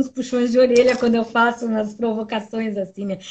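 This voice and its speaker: Speaking at a fairly quick pace, a woman with a high voice keeps her intonation fairly even. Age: 60s. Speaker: lawyer and political activist. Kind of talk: casual interview.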